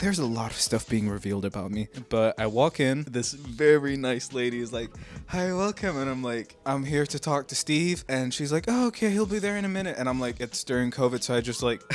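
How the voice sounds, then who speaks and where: Mumbled speech comes at a fairly quick pace with an animated tone and lively intonation. Music plays in the background. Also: man. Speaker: YouTuber and musician. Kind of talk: casual storytelling from a stream. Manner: mumbling.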